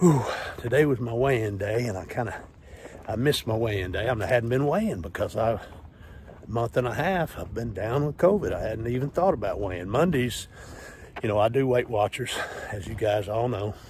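A man speaks at a fairly quick pace with lively intonation and a somewhat breathy voice. The sound is dry with no echo, over light background noise. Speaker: fitness vlogger. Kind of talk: casual vlog chat. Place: street. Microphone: earbuds.

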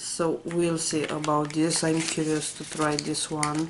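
Against noticeable background noise, a woman speaks very slowly in a very deep, low, flat monotone. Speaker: beauty vlogger. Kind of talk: unboxing video. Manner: casual, uses many fillers.

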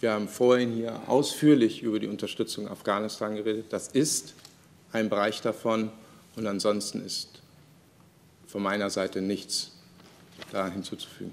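A man speaks at a moderate pace with fairly low pitch and fairly even intonation. He leaves long, frequent pauses. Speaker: government spokesperson. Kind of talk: press conference answer. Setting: press conference room. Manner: formal. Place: hall.

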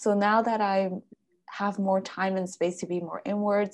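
The background is quiet. The speech moves at a moderate pace. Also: woman. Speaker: podcast host and wellness coach; podcast host, wellness coach. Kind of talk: casual interview. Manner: enthusiastic. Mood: warm, enthusiastic. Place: home room. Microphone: webcam.

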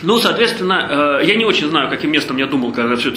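Fairly high male voice with lively intonation, audible room echo and light background noise. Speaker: charity foundation head; speaker. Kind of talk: lecture. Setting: stage with audience. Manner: halting, many filler sounds. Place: hall.

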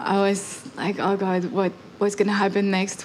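A woman speaks over light background noise. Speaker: interviewee. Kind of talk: interview answer. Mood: reflective, light humor. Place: hall. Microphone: handheld.

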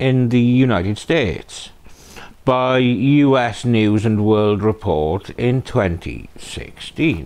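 Speaking with a British accent, a man goes at a very slow pace. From UK. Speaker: true crime channel host. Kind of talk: scripted narration. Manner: sardonic. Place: home room.

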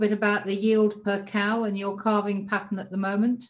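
A woman at a fairly high pitch and fairly quick pace, with an ordinary speaking voice. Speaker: moderator. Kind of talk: webinar interview.

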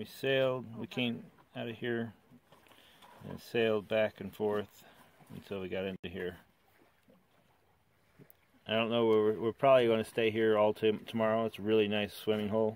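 Speaking with long, frequent pauses at a moderate pace, a man keeps a monotone, flat intonation and a fairly low pitch in a dry sound with no echo. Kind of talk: casual vlog chat. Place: boat. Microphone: phone near.

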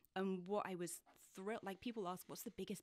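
This woman speaks with a British accent. The sound is dry with no echo, and the background is quiet. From UK. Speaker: author and journalist; journalist. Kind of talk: interview conversation. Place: studio. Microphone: studio mic.

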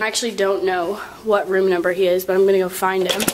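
Noticeable background noise is present. The words come out at a very fast pace. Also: woman. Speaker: college vlogger. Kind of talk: casual vlog. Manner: animated.

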